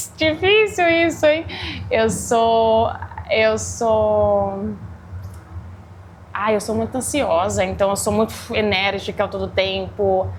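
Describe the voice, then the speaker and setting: Long, frequent pauses break up a woman's speech at a very slow pace. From Brazil, interior (Guará). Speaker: chef and restaurant owner. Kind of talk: interview. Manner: energetic, agitated.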